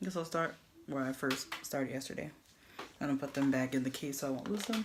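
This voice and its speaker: Against noticeable background noise, a soft-spoken woman talks at a fairly quick pace in a very deep, low voice with ordinary pitch variation. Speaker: beauty vlogger. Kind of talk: tutorial. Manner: casual.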